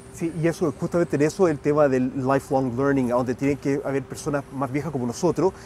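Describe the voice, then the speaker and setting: Over noticeable background noise, a man speaks very fast with hardly any pauses. His pitch is fairly high and his intonation fairly even. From Chile, raised partly in the US. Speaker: rugby mental skills coach and educator. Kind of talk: podcast interview. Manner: halting, frequent self-corrections.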